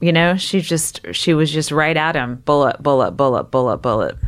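A woman with a plain, everyday voice speaks at a fairly slow pace. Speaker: stand-up comedian and comedy writer. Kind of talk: casual chat.

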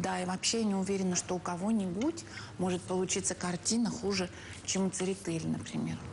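A woman talks at a fairly quick pace with very even loudness and ordinary pitch variation. Light background noise can be heard. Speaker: TV presenter. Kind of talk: humorous TV presenter chat. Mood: ironic, playful.

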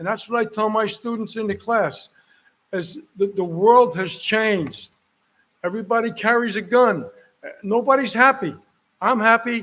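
With an American accent, a man speaks in a high voice at a moderate pace, with ordinary pitch variation and long, frequent pauses. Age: 80s+. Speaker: board of education member. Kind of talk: acceptance speech. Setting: public board meeting. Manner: halting.

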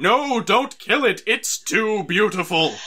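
A man puts on a character voice, high-pitched, raised and projected, at a fairly slow pace. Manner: urgent.

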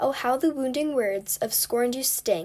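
A woman mumbles in a put-on character voice, pitched high and moving at a moderate pace. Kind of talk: theatrical, wordy. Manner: sad, mumbling.

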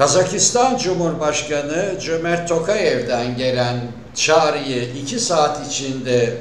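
A man talks at a very slow pace with ordinary pitch variation, audible room echo and light background noise. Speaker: political commentator. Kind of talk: commentary. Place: home room.

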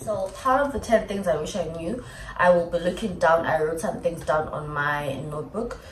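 Moderate pace, audible room echo, and light background noise. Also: woman. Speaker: vlogger. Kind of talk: casual vlog chat. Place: home room. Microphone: phone near.

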